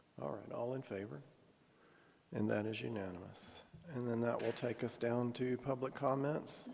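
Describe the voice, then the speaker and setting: Audible room echo surrounds a man talking at a fairly quick pace, with medium pitch and ordinary pitch variation. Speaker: mayor chairing city council meeting. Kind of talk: council meeting chairing.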